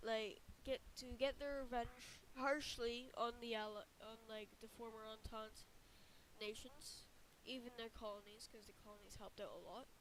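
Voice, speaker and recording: The voice is squeaky and moves at a fairly slow pace with monotone, flat intonation. Its loudness swings widely. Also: woman. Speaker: alternate history map narrator. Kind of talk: casual narration. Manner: halting, many fillers and restarts.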